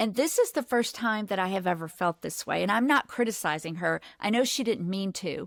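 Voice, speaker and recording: An ordinary speaking voice, this woman talks at a medium pitch and a fairly quick pace with lively intonation and hardly any pauses, the sound dry and close with no echo on a very clean recording with a silent background. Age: 60s. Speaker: podcast host. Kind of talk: casual chat. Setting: studio.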